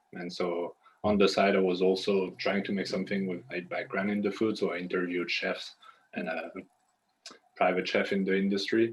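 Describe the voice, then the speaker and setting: Someone with a French accent speaks at a moderate pace with monotone, flat intonation. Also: man, fairly low pitch for a man. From France. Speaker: aspiring consultant, former pastry chef. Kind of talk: casual Q&A conversation.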